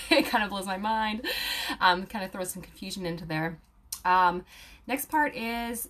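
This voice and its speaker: A woman has a plain, everyday voice at medium pitch, with lively intonation and a moderate pace. The background is quiet. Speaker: aromatherapy student and video creator. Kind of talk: casual talk to viewers, live stream with comments. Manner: casual, many fillers.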